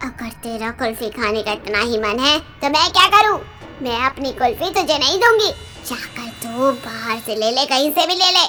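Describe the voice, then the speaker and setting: A cartoonish character voice, female-sounding and high in pitch, speaks at a moderate pace. Clear music plays in the background. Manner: mocking, sly.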